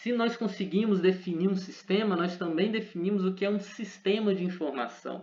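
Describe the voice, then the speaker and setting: Hardly any pauses break this man's speech. His pitch is high, with ordinary variation. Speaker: teacher. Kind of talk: lecture. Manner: fast.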